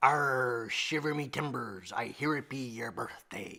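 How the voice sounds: In a put-on character voice that is raspy, the speaker goes at a fairly slow pace on a very clean recording with a silent background. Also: man, medium pitch for a man.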